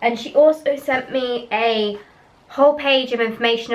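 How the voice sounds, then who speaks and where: A high-pitched woman's voice with ordinary pitch variation over noticeable background noise. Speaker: vlogger and cloth pad seller. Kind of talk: product review vlog. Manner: casual, chatty.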